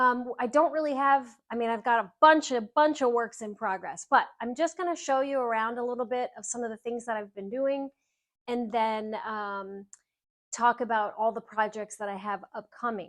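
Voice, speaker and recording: Speaking at a moderate pace, a woman shows ordinary pitch variation and big swings in loudness. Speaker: home decor and upholstery creator. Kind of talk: live stream casual talk. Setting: enclosed patio room at home, live stream. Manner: loud, projecting.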